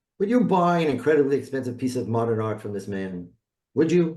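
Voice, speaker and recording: This man speaks at a medium pitch with a New York accent. His pitch swings very widely. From New York City (South Bronx). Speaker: branding expert, designer. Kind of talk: presentation.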